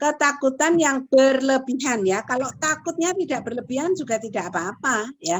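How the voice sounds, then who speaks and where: With hardly any pauses, a woman speaks at a high pitch with lively intonation. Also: moderate pace. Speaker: lecturer in counseling psychology. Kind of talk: lecture.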